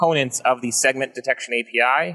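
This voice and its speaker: A man speaks in a bright, sharp tone. The sound is dry and close, with no echo. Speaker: technical presenter. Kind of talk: technical demo explanation.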